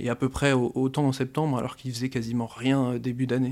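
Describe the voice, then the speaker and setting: Speaking at a fairly quick pace, a man keeps his medium-pitched voice flat and monotone on a very clean recording with a silent background. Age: 20s. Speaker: crypto-currency expert. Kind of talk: interview.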